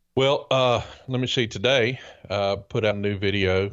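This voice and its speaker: Fairly even intonation from a man with a fairly low voice, with a Southern US accent over a quiet background. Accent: Southern American drawl, noticeable. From US South. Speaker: podcast co-host and private pilot. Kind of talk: casual chat. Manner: hesitant, many fillers.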